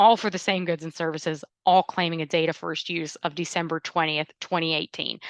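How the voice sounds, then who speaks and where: Against a quiet background, a woman talks at a fairly quick pace with fairly low pitch and fairly even intonation, the sound dry and close with no echo. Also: hardly any pauses. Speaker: intellectual property lawyer. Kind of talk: webinar presentation and Q&A. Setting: online webinar. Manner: fast.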